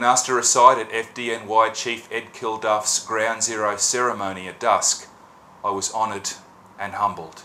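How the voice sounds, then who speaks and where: The tone is solemn. The speaker has an Australian accent. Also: man. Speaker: poet. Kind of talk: scripted narration.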